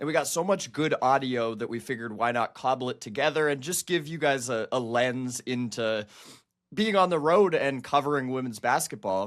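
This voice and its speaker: Over a very clean recording with a silent background, a man speaks at a moderate pace. He has a medium pitch, ordinary pitch variation and a normal speaking voice. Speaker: women's basketball reporter and podcast co-host. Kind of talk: casual podcast chat.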